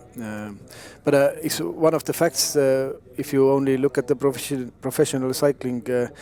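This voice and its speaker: A man with a medium-pitched voice speaks at a moderate pace. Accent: Estonian. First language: Estonian. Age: young. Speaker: former racing cyclist, co-commentator. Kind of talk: live commentary.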